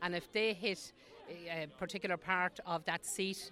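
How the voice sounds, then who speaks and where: In an Irish accent, a woman speaks at a fairly low pitch with a bright, sharp tone. Her intonation is fairly even. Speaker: festival volunteer. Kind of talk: casual interview chat. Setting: outdoors at festival.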